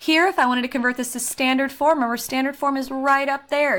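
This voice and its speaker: A woman with a high pitch is heard on a very clean recording with a silent background. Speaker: math teacher. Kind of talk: recorded video lesson. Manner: fast.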